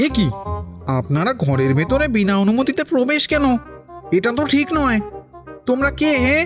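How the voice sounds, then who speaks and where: Over clear music in the background, a cartoonish character voice speaks at a fairly high pitch. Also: moderate pace. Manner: whiny.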